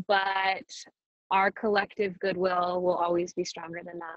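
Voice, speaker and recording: A woman with a medium-pitched voice talks at a fairly slow pace. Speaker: meditation teacher. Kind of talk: guided meditation talk. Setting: video call. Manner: calm. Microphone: choppy connection.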